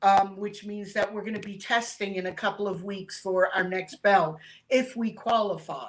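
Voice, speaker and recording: In a normal speaking voice, a woman talks at medium pitch with fairly even intonation but big swings in loudness. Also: moderate pace. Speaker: rescue dog owner and martial arts student. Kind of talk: casual interview chat.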